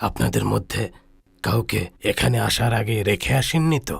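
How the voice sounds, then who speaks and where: A man puts on a character voice, raspy and fairly low-pitched, at a moderate pace. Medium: fan dub. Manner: grave, measured.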